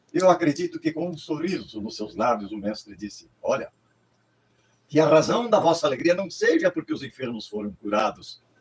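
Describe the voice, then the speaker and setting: A man with a fairly high pitch speaks at a moderate pace, with vocal fry in his voice. His pitch swings very widely, and his loudness rises and falls a great deal. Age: 80s+. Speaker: pastor. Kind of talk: sermon. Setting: livestream.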